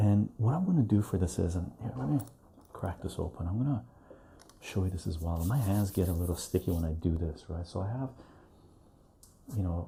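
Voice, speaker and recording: Soft-spoken and somewhat breathy, a man talks at a fairly quick pace in a very deep, low pitch with a dark, mellow tone. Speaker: home liqueur maker. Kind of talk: casual talk to camera, demonstrating homemade liqueur.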